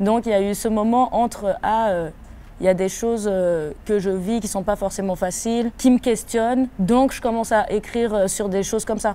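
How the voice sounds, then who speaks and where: With a slight West African accent, the voice has a dark, mellow tone, fairly even intonation and a moderate pace. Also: woman, fairly high pitch for a woman. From Ivory Coast, then Switzerland. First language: African language (speaking French). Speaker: rapper. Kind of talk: interview. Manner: hesitant, many fillers.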